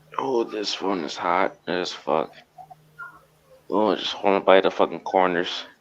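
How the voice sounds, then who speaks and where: A man speaks fairly slowly at a very deep, low pitch with ordinary pitch variation and long, frequent pauses. Background noise is noticeable. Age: 40s. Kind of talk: casual chat.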